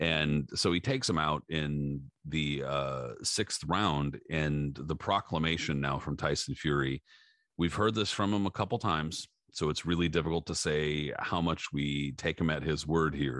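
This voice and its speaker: At a fairly slow pace, a man with a very deep, low pitch and vocal fry speaks with very even loudness and ordinary pitch variation over a quiet background. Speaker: boxing podcast host. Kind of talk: casual chat. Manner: casual, filler-heavy, uses slang like dude and bro.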